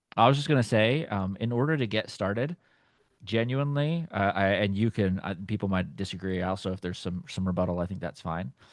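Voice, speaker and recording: There's a quiet background as a man with a Texan accent speaks. His pace is fairly quick and his intonation lively. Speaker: platform team member. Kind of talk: live tutorial.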